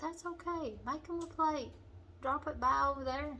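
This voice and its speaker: Over noticeable background noise, a woman speaks in a relaxed tone. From western Kentucky. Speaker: home cooking channel host. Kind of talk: cooking tutorial. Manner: relaxed, conversational.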